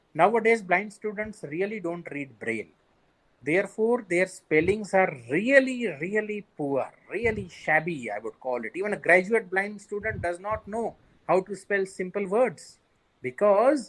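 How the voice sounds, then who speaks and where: A man with an Indian accent speaks at a fairly slow pace. His voice is high-pitched, with lively intonation. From India, Marathi-speaking region. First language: Sindhi. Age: 40s. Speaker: bank manager with visual impairment. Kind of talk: interview.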